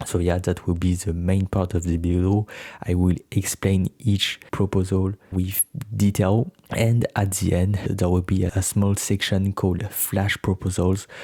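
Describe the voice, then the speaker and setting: A man's very deep, low voice in a French accent, dark and mellow, somewhat breathy, monotone and flat, at a fairly slow pace and very even loudness, with a dry, close sound and no echo. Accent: non-native, French. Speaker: YouTuber, political explainer. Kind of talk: informative announcement video. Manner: slightly halting non-native delivery.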